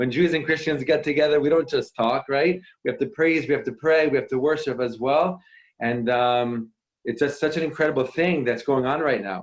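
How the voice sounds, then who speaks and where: With a New York accent, a man talks at a fairly quick pace in an animated tone with ordinary pitch variation. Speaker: worship musician. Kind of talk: inspirational talk to online audience. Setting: video call.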